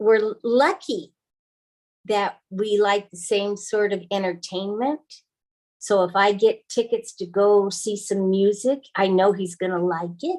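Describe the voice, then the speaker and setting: This woman has an unremarkable speaking voice at a medium pitch. She speaks at a fairly slow pace with fairly even intonation. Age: 60s. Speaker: retired married panel guest. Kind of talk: panel discussion.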